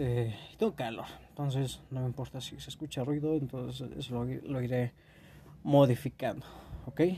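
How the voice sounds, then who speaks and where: Somewhat breathy, a man with a Mexican accent shows big swings in loudness and ordinary pitch variation. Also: medium pitch for a man, moderate pace. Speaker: podcast host. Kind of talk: casual monologue. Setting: home bedroom. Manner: stuttering.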